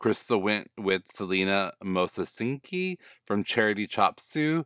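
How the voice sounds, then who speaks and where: A man with an American accent speaks at a fairly low pitch with lively intonation, the recording very clean with a silent background and a dry, close sound with no echo. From US South. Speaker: podcast host. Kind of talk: casual recap monologue. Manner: animated.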